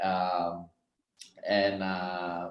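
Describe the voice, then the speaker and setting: This man's voice is loud. His tone is energetic. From Malaysia. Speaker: network marketing distributor. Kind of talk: online meeting talk.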